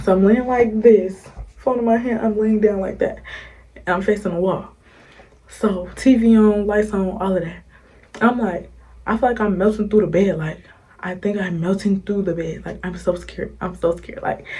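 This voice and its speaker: A woman whispers at a moderate pace, with audible room echo. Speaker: YouTuber. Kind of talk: storytime. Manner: whispering.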